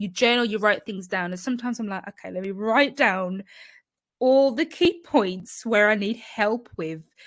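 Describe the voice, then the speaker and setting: A woman's fairly high voice with ordinary pitch variation over a quiet background. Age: adult. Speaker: YouTuber sharing personal experience. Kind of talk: live stream storytime chat. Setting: live stream. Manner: fast; animated.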